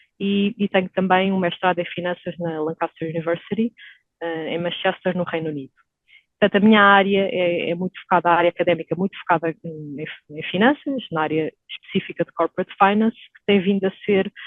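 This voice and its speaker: A woman at medium pitch, ordinary pitch variation, a fairly quick pace, and big swings in loudness. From Portugal. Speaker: stock exchange executive. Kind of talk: podcast interview. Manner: hesitant, many fillers.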